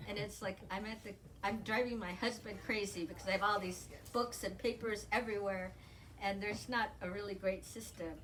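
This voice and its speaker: Fairly quick speech in an American accent, with fairly even intonation and audible room echo. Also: woman, medium pitch for a woman. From Southern California, Pasadena area. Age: 60s. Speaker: novelist. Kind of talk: author interview.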